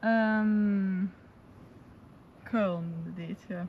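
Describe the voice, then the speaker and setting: Ordinary pitch variation marks a woman's somewhat breathy voice, heard dry with no echo over light background noise. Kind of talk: casual vlog chat. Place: open country.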